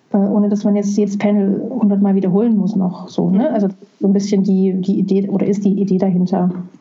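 Amid noticeable background noise, a woman of medium pitch speaks very fast in a monotone, flat intonation at very even loudness. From Saxony, Dresden. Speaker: film festival coordinator. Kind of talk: interview. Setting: video call. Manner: halting. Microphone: laptop.

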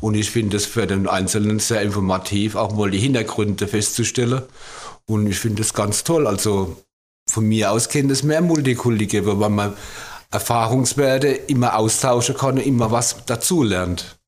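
With a normal speaking voice, a man speaks at a moderate pace, his pitch fairly low with ordinary pitch variation and very even loudness. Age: 50s. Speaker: bus driver. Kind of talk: casual interview.

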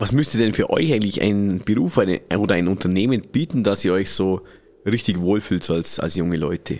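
Here is a man with a plain, everyday voice, pitched fairly low. He speaks at a moderate pace with ordinary pitch variation. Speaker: podcast host. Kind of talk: casual interview. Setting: studio.

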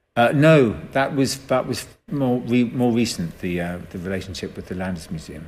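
With audible room echo, a man with an English accent speaks at a moderate pace with lively intonation. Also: medium pitch for a man. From England. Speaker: artist. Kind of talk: interview. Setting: museum. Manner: hesitant, many fillers.

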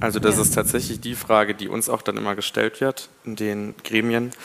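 The speaker is a man with a fairly low pitch. His intonation is flat and monotone. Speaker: law student representative. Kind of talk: live panel discussion. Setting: university hall with live audience.

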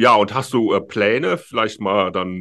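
The intonation is lively, but the pace is very slow. The background stays quiet. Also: man. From Rhineland, Germany. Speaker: podcast host, landlord. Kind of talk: casual chat. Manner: halting, many filler sounds.

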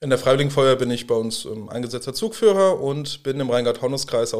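A man is speaking. His pace is very fast. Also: very clean recording, silent background. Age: 30s. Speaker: professional firefighter. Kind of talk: interview.

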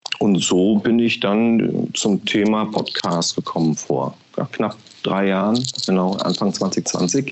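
Against noticeable background noise, a man with a fairly low pitch speaks at a very slow pace, with ordinary pitch variation and very even loudness. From Berlin (East), Germany. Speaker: podcast marketing executive. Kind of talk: interview.

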